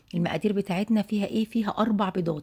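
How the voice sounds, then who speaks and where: On a very clean recording with a silent background, a woman speaks in a somewhat breathy voice with a dark, mellow tone. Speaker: home cooking video host. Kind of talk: cooking tutorial. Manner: chatty, conversational.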